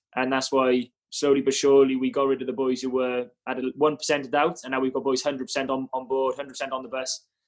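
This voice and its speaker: A man with a Welsh accent, fairly quick pace and monotone, flat intonation. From Cardiff, Wales. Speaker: rugby player (fly half). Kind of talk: casual interview chat.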